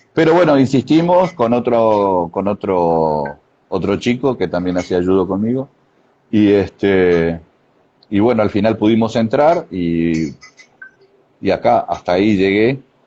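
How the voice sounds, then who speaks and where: A man talks at a fairly slow pace with lively intonation, leaving long, frequent pauses. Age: 60s. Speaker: karate master. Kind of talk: interview. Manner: halting.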